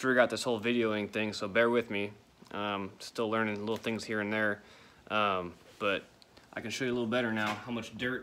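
A man talks at a fairly quick pace in a fairly low pitch, his tone bright and sharp. His intonation is flat and monotone over light background noise. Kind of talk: casual tutorial vlog. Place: garage. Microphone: phone near.

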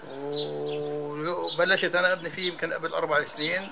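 Here a man is speaking. Loud noise fills the background. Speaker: homeowner facing demolition. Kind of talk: interview answer. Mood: worried, aggrieved. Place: street. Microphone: phone near.

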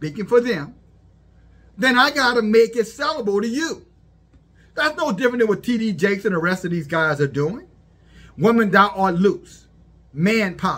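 Bright, sharp tone at a moderate pace. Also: man. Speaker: religious commentator. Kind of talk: preaching commentary. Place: home room. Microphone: phone near.

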